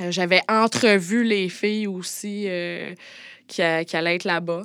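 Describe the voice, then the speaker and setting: Recorded very cleanly and dry, with no echo and a silent background, a woman speaks at a moderate pace and medium pitch, her tone bright and sharp and her intonation fairly even. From Quebec, Montérégie. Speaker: former escort. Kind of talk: personal testimony. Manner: halting, many hesitations.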